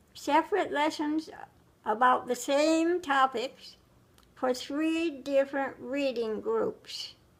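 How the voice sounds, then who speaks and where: A woman speaks at a very slow pace. Her pitch is high. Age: 90s. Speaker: retired schoolteacher. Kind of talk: casual interview about life story. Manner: halting, repeats words.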